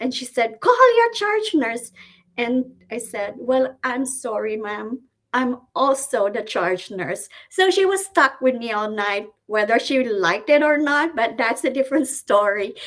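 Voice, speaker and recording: With a strong Filipino accent, a woman talks fairly slowly in a high voice and lively intonation. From Philippines, Cebuano-speaking region. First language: Cebuano. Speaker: nurse. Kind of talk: webinar presentation.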